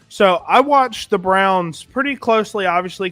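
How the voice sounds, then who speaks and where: Music plays in the background behind a voice with ordinary pitch variation. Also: man. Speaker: fantasy football show host. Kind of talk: sports talk show. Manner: animated.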